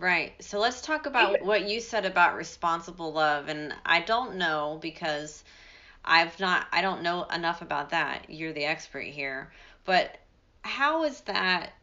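A woman talks at a fairly slow pace in an unremarkable speaking voice. Her pitch sits fairly low, with ordinary pitch variation. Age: 40s. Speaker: family law attorney and podcast host. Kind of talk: interview conversation.

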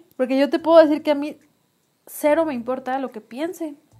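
A woman speaks with a Mexican accent. Her pitch is high, and her intonation stays fairly even. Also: big swings in loudness. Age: 30s. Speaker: podcast co-host. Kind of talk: casual chat.

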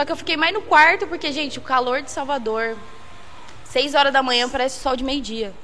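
Over noticeable background noise and audible room echo, a woman uses a raised, projected voice with high pitch and lively intonation. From São Paulo state interior, Brazil (Jaguariúna/Holambra). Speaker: podcast guest. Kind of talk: casual chat.

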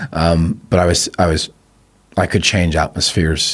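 Speaking in a Belfast accent, a man has a very deep, low voice. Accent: Belfast accent, milder than staunch Belfast. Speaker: filmmaker. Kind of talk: casual chat.

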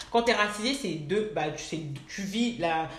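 A woman speaks fairly quickly at a medium pitch, with audible room echo and noticeable background noise. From France, of Ivorian parents. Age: 20s. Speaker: management consultant. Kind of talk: casual chat.

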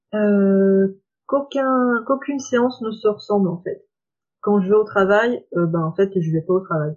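A woman at medium pitch talks at a fairly slow pace. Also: ordinary pitch variation. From France, Saône-et-Loire. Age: 20s. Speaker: reflexologist. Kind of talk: interview. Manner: hesitant, many fillers.

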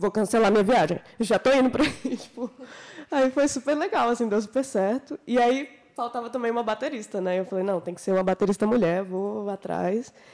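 She has a plain, everyday voice. The woman talks at a fairly quick pace, and her pitch varies in an ordinary way. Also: fairly high pitch for a woman. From Minas Gerais, Brazil. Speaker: singer and guitarist. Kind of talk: casual chat.

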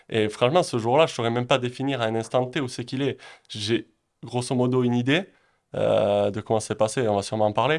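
Very fast speech from a man with ordinary pitch variation, in a very clean recording with a silent background. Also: medium pitch for a man. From French Basque Country (Pyrénées-Atlantiques, southwest France). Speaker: real estate investor and entrepreneur. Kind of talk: interview.

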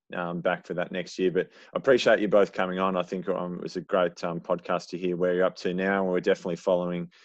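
With an Australian accent, a man speaks in a very deep, low voice with monotone, flat intonation against a quiet background. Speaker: athletics club podcast host. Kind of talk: casual podcast chat.

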